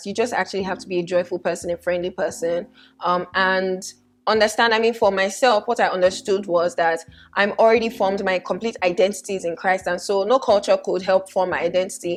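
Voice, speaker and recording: Speaking at a fairly quick pace, a woman talks with a Nigerian accent. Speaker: fashion vlogger. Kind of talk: casual vlog talk. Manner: animated.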